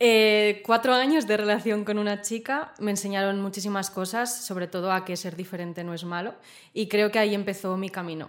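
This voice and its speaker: In an unremarkable speaking voice, a woman talks fairly quickly at a medium pitch with fairly even intonation. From Spain, Zaragoza. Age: 20s. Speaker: interview guest. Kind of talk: interview, personal story.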